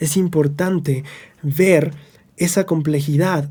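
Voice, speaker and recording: Fairly high-pitched male voice, dark and mellow in tone, with ordinary pitch variation. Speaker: religious scripture teacher. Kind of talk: scripture study lesson.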